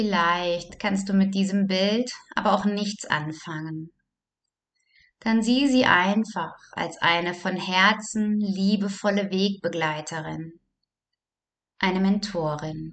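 In a gentle, calm tone, a woman speaks at a very slow pace with long, frequent pauses and fairly even intonation. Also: medium pitch for a woman. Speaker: meditation guide. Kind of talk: guided meditation. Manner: slow, calm, soothing; gentle, with long pauses.

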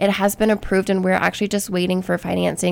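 The speaker is a woman with an American accent. Her recording is very clean, and the background is silent. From Ohio, US Midwest. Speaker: city economic development staffer. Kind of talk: radio interview.

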